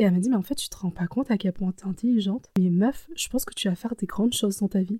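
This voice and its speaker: Talking at a very fast pace, a woman with a somewhat breathy, dark, mellow tone and medium pitch uses ordinary pitch variation while her loudness swings widely. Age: 20s. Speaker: personal storytelling podcaster. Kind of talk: personal testimony, casual spoken commentary. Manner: hesitant, with frequent fillers.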